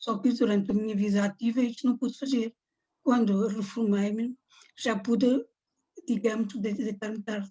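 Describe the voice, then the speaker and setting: Somewhat breathy, with a dark, mellow tone, a woman speaks with fairly even intonation and long, frequent pauses. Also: fairly high pitch for a woman, moderate pace. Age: 70s. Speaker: Parkinson's patient. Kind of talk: testimony. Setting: video call.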